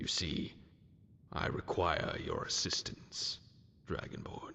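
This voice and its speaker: A man performs a put-on character voice. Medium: machinima. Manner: condescending, impatient.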